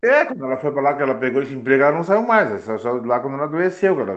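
Speaking very fast with lively intonation, a man uses a medium pitch and a Rio Grande do Sul accent. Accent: southern Brazilian gaúcho Portuguese. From Rio Grande do Sul, Brazil (Piratini). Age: 50s. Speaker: former amateur football player. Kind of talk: interview, life story.

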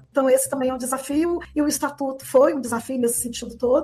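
Her high-pitched voice races along at a very fast pace. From Lavras, southern Minas Gerais, Brazil. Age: 50s. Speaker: city councillor and teacher. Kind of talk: interview.

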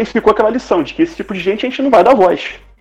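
Words pour out at a very fast pace. Noticeable background noise runs underneath. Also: man. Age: 40s. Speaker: podcaster. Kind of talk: panel discussion.

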